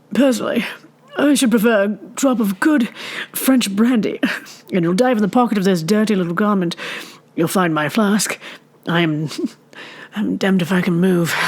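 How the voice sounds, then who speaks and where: Using a put-on character voice, a woman drawls at a moderate pace and medium pitch, with lively intonation and long, frequent pauses. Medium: read story. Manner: sleepy, drawly, affected.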